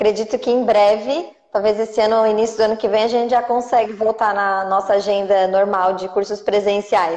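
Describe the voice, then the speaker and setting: Noticeable background noise sits behind a woman talking at a fairly quick pace and a fairly high pitch. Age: 30s. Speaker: ballet teacher and course creator. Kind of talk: live-stream interview. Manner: animated.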